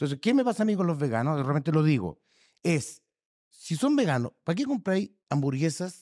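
The loudness stays very even. Pitch swings are very wide. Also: man, fairly high pitch for a man, moderate pace. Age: 60s. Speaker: podcast co-host. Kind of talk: casual chat.

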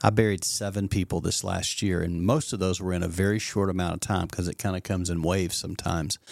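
In a very clean recording with a silent background, a man with a very deep, low pitch speaks at a fairly quick pace. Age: 60s. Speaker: pastor and podcast host. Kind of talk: casual chat. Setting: studio.

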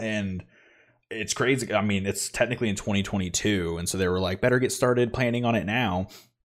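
Fairly low-pitched male voice, an unremarkable speaking voice with fairly even intonation. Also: fairly quick pace, very clean recording, silent background. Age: 20s. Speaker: podcast host. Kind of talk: casual chat.

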